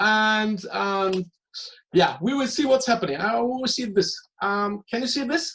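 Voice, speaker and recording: A man's high-pitched voice in a German accent, bright and sharp in tone, with ordinary pitch variation and a fairly slow pace. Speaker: interviewer. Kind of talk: interview. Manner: halting.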